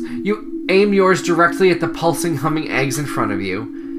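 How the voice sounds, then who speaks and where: Theatrical delivery at a moderate pace over music in the background. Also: man. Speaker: podcast host. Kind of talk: dramatic narration of a children's horror book, read aloud. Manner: suspenseful, hushed and theatrical, with a campy tone.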